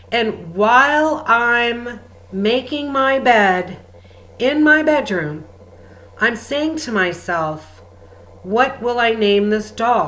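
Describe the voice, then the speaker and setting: Using a high pitch and lively intonation, a woman speaks at a very slow pace with long, frequent pauses. The room echo is audible. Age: 60s. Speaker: spiritual healer and channel. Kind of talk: spiritual guidance talk.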